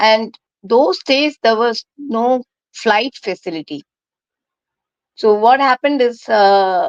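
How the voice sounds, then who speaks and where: A woman speaks very slowly at a fairly high pitch with lively intonation and long, frequent pauses. The sound is dry and close, with no echo. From India, Kerala. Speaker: leadership coach. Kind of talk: interview.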